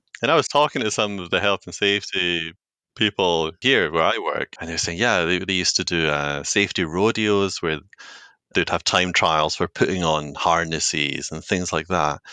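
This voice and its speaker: Speaking with a Scottish accent, a man has a very deep, low pitch with ordinary variation and a bright, sharp tone. His pace is moderate, and the sound is dry and close with no echo over a quiet background. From Scotland, Edinburgh. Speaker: corporate trainer. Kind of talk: podcast interview.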